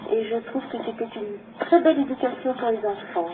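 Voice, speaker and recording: The pace is fairly slow. A woman is speaking. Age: 60s. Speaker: caller. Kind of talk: testimony.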